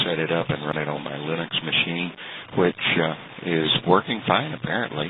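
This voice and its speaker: Noticeable background noise sits behind this speaker. The pace is moderate, with an American accent. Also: man. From Texas. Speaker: amateur radio operator. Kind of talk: radio contact conversation. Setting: internet radio link. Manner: halting, many fillers.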